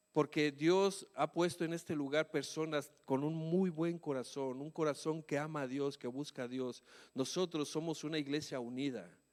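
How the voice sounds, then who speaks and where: A man's fairly high voice at a moderate pace with hardly any pauses, in a very clean recording with a silent background. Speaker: pastor. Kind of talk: sermon. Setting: church. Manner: shouts at times.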